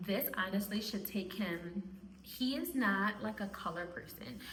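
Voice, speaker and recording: Recorded with audible room echo and noticeable background noise, a woman speaks at a medium pitch. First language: Spanish. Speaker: homeschooling mom and video creator. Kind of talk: casual talk to camera.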